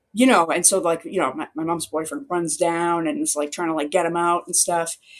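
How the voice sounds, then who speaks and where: In a strong Boston accent, a woman speaks with a fairly low pitch. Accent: thick Boston accent, non-rhotic. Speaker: newspaper reporter. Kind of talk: interview answer. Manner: casual, chatty.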